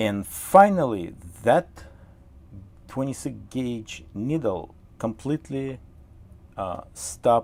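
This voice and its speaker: Speaking with a Russian accent, a man talks at a very slow pace with long, frequent pauses and very wide pitch swings. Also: medium pitch for a man. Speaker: model train hobbyist and tutorial host. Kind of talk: live-stream tutorial. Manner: halting, many fillers; casual, chatty.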